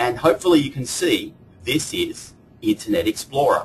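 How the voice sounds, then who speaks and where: Somewhat breathy, a man with an Australian accent speaks with ordinary pitch variation. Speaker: software product evangelist. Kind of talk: webinar product presentation. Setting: online webinar with screen share. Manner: formal.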